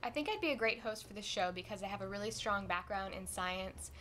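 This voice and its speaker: Using a plain, everyday voice, a woman talks at a fairly quick pace with a medium pitch and ordinary pitch variation. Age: 20s. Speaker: science host applicant, biologist. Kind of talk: audition talk to camera.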